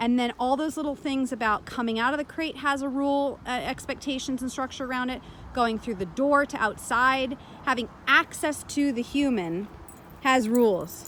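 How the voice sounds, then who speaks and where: Loud and animated, a woman speaks in a high-pitched voice. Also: ordinary pitch variation, moderate pace. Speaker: dog trainer. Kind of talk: tutorial commentary over training footage.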